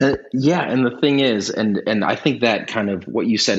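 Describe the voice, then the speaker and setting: An unremarkable speaking voice at a fairly quick pace with lively intonation. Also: man. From Minnesota, Twin Cities. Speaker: startup founder and lawyer. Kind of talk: interview.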